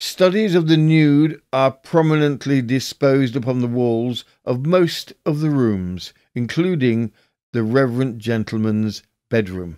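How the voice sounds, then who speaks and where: This man has a normal speaking voice of medium pitch with lively intonation, speaking at a fairly slow pace on a very clean recording with a silent background. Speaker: podcast host. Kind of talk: scripted true-crime historical narration, reading newspaper excerpts. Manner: measured, formal, storytelling delivery.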